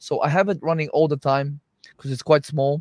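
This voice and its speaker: In a dry, close sound with no echo, a man speaks in a monotone, flat way at a fairly high pitch, on a very clean recording with a silent background. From Bulgaria. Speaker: nutritionist. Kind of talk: casual chat.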